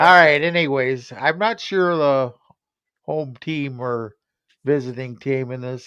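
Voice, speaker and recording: A man speaks with a West Virginia accent at a medium pitch and a fairly slow pace. His tone is bright and sharp, with ordinary pitch variation. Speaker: sports talk show co-host. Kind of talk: casual chat.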